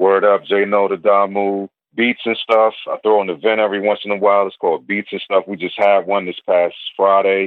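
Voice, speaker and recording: The speaker has an American accent and a fairly quick pace. The intonation is flat and monotone. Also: man, fairly low pitch for a man. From Landover, Maryland. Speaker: hip hop producer and rapper. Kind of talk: casual interview.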